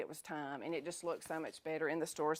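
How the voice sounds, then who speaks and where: A woman speaks with a Southern US accent. Her pitch is fairly low. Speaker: food business owner. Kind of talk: talk to an audience. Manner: fast; animated.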